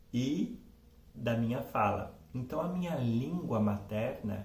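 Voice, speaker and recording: A man speaks very slowly at a medium pitch. Room echo is audible, and background noise is noticeable. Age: 40s. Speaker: professor. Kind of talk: personal testimony. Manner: halting, many fillers and self-corrections.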